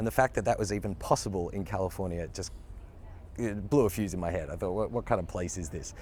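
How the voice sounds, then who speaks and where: The recording is very clean, with a silent background. A man with a very deep, low pitch talks very fast, with ordinary pitch variation. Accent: Australian. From Australia. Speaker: actor. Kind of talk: interview. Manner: casual, with fillers.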